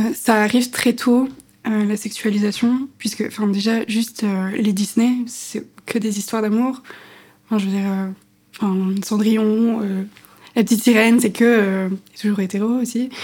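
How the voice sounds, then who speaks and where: A woman's fairly high, somewhat breathy voice with a dark, mellow tone, monotone, flat intonation, a fairly slow pace and long, frequent pauses. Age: 20s. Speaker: podcast co-host. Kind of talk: casual chat.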